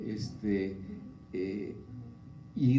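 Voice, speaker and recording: A man's somewhat breathy voice, dark and mellow in tone, with audible room echo. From Mexico. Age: 70s. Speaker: forum speaker on public policy. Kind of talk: talk to students at a forum. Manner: halting, many fillers.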